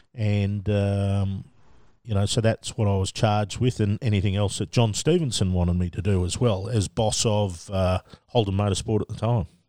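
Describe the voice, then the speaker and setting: A man in an Australian accent speaks at a moderate pace with a fairly low pitch, a dark, mellow tone, and fairly even intonation, on a very clean, dry, close recording with no echo and a silent background. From Australia, Melbourne. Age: 50s. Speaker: motorsport media manager. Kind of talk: casual interview.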